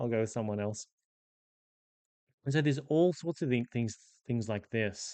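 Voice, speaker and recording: With an Australian accent, a man talks at medium pitch and a moderate pace, leaving long, frequent pauses. His dark, mellow tone shows ordinary pitch variation in a dry, close sound with no echo. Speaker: professional Dungeon Master. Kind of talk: casual explainer monologue. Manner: conversational with fillers.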